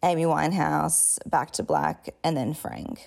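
Speaking fairly slowly, a woman talks with an Australian accent. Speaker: podcast host and memoir author. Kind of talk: casual intro monologue.

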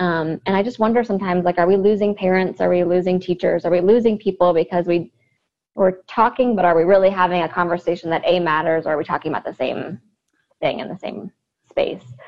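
Speaking at a very fast pace, a woman has a Midwestern American accent. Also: medium pitch for a woman, fairly even intonation. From US Midwest, Cincinnati, Ohio. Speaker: educator. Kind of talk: interview.

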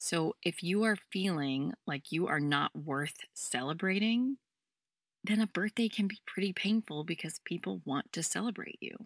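In a very clean, dry, close recording with a silent background and no echo, a woman speaks at a fairly slow pace in a plain, everyday voice, fairly low in pitch with lively intonation. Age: 30s. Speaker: podcast host, self-help coach. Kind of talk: solo self-help podcast talk. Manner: warm, gentle.

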